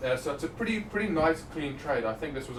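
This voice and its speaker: Noticeable background noise surrounds the recording. A man speaks at a very fast pace. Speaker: trading analyst presenter. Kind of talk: live market analysis stream. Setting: live stream. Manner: stutter; casual, conversational.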